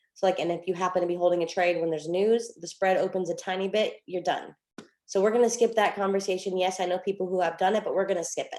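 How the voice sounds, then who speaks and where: A quiet woman's voice of medium pitch, dark and mellow in tone, with fairly even intonation and a very fast pace. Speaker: trading coach. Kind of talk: online group hangout, trading tutorial. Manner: quiet, hard to hear; casual, filler-heavy.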